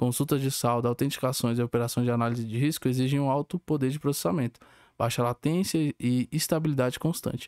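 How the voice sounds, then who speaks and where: Man at medium pitch, fairly quick pace, ordinary pitch variation, dry, close sound with no echo, very clean recording with a silent background. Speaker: student. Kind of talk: student presentation, partly reading aloud. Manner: fast.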